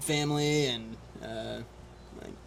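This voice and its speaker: There is noticeable background noise. Through it, a man talks in an American accent. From Oklahoma, Oklahoma City area. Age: 20s. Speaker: firefighter and rafting guide. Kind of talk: casual interview. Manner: halting.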